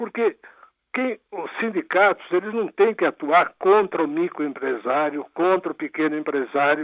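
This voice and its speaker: A man's high-pitched voice at a fairly slow pace. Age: 80s+. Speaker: former labor minister and judge. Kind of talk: radio interview.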